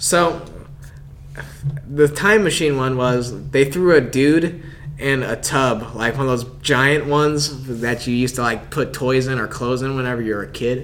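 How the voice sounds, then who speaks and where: Delivered at a moderate pace with fairly even intonation, the clip carries noticeable background noise. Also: man. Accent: American. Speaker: podcast host. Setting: podcast recording.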